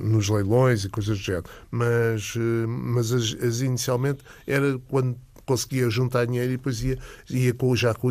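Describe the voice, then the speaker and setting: Delivered at a moderate pace in a flat monotone, the speech comes through in a very clean recording with a silent background. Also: man. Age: 60s. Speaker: comics expert and collector. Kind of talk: casual chat. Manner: halting, many fillers.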